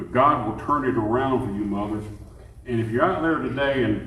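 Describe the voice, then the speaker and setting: In an Alabama accent, a man speaks at a fairly quick pace with a medium pitch and ordinary pitch variation. Audible room echo and noticeable background noise come through. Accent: Southern US (Alabama). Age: 70s. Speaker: pastor. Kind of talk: sermon.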